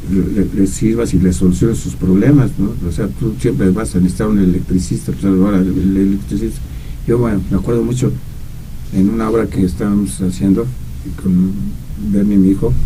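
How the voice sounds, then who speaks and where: A man's very deep, low voice with lively intonation at a fairly quick pace, audible room echo and noticeable background noise. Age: 70s. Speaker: radio commentator. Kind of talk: casual chat. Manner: halting, many repetitions.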